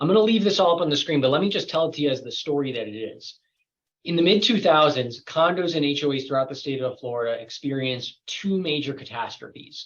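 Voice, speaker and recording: A man's fairly high voice at a very fast pace with lively intonation. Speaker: lawyer teaching a certification course. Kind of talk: lecture.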